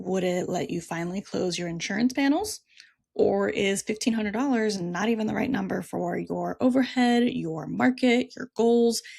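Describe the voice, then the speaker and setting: A woman with a normal speaking voice talks at a moderate pace, her medium pitch carried by lively intonation. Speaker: therapist and practice coach, podcast host. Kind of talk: solo podcast monologue.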